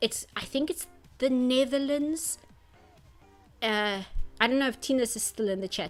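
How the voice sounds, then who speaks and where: The speaker moves at a moderate pace but leaves long, frequent pauses. Pitch varies in an ordinary way, and music plays in the background. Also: woman, high pitch for a woman. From South Africa. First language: Afrikaans. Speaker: artist streamer. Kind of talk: casual chat. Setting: live stream. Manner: halting, many fillers and restarts.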